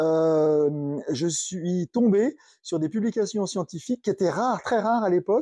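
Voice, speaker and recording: Against a quiet background, a man with a high voice speaks with lively intonation and very even loudness, the sound dry and close with no echo. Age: 60s. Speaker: magnetotherapy equipment maker. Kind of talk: interview. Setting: in person at guest's company. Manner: halting.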